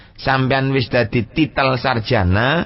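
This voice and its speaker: This man's voice is somewhat breathy, with ordinary pitch variation. He speaks at a very slow pace. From Pasuruan, East Java, Indonesia. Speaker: Islamic cleric and pesantren leader giving a public lecture. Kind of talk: Islamic sermon on Sufi text (Al-Hikam).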